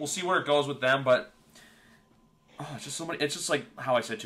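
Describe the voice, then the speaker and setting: A man speaks at a very fast pace with a Canadian accent. His tone is bright and sharp, with ordinary pitch variation. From Canada. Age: 20s. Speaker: podcast host. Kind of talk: casual chat.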